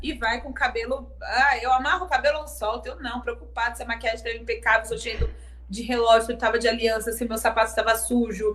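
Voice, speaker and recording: The speaker moves at a fairly quick pace with big swings in loudness. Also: woman. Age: 30s. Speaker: singer and songwriter. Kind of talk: casual interview. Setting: live-streamed video interview.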